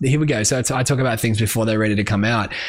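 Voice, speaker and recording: The speaker is a man. He talks at a very fast pace. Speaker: music industry podcast host. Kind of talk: solo podcast monologue. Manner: animated.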